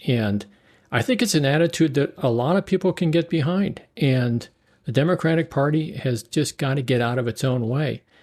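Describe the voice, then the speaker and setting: A man talks at a moderate pace with lively intonation. The recording is very clean, with a silent background. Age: 60s. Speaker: political candidate and podcaster. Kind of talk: casual interview conversation. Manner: animated.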